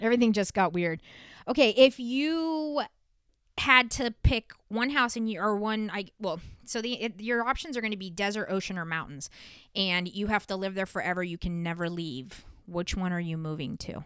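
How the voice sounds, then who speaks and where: With lively intonation, a woman speaks at a moderate pace and medium pitch in an ordinary speaking voice. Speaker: podcast host. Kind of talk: casual interview chat. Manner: joking, playful.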